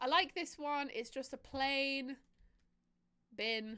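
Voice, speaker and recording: Speaking at a very slow pace with a British accent, this voice has lively intonation and a bright, sharp tone. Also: woman. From Britain. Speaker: streamer. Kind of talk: casual gameplay livestream chat. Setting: livestream.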